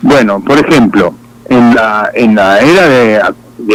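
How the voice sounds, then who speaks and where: A man's voice amid noticeable background noise. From Argentina. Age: 60s. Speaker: pastor. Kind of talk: testimony. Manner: halting.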